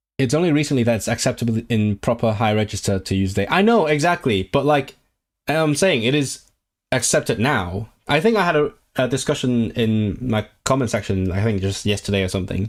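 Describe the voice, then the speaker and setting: A man talks fairly quickly with lively intonation, captured in a very clean recording against a silent background. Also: medium pitch for a man. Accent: Cantonese. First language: Cantonese. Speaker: language streamer. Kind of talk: casual livestream chat. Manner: animated.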